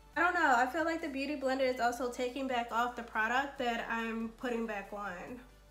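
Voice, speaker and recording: Music plays in the background as a woman speaks in a high pitch. She moves at a fairly quick pace with hardly any pauses. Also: ordinary pitch variation. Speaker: beauty YouTuber. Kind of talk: casual talk to camera.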